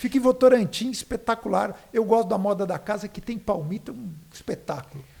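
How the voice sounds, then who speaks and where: Words come at a fairly quick speed. Ordinary variation marks the pitch. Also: man, high pitch for a man. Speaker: podcast host. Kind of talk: sponsor reads in casual chat. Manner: animated.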